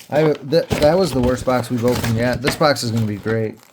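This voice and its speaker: Ordinary pitch variation and a fairly slow pace, with noticeable background noise behind. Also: man. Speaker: sports card collector opening packs. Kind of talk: casual pack-opening commentary.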